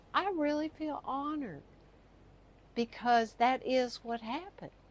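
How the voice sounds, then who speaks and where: Against noticeable background noise, a woman with a high pitch and lively intonation speaks at a fairly slow pace with long, frequent pauses. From US South, Texas and Louisiana. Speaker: storyteller. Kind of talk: personal storytelling.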